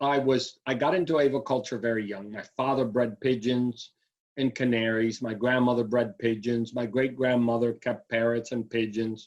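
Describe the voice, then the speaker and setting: An unremarkable speaking voice at a moderate pace. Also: man. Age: 60s. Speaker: aviculturist. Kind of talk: interview.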